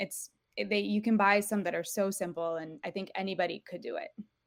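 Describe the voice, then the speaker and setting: This woman has an unremarkable speaking voice at a medium pitch, using ordinary pitch variation at a moderate pace in a very clean recording with a silent background. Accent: American. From Europe (Portugal and Italy), American parents. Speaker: homeschooling mother and small business owner. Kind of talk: podcast interview.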